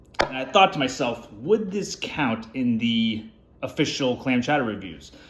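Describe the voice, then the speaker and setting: A man talks with very wide pitch swings. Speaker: food reviewer. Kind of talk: casual product review vlog. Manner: fast.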